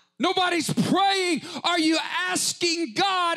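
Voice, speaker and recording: A raised, projected voice carries through. The pace is very slow. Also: man. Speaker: preacher. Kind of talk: sermon. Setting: church with live congregation. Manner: fervent, impassioned preaching.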